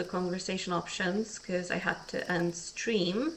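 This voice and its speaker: A quiet woman's voice comes through over noticeable background noise. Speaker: vtuber streamer. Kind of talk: casual let's-play stream commentary. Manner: monotone. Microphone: a bit quiet even in the red.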